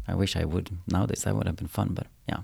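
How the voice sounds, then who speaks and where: With a Swedish accent, a man talks at a fairly quick pace in a very deep, low pitch. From Sweden, Umeå. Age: 30s. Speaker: choreographer. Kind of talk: interview.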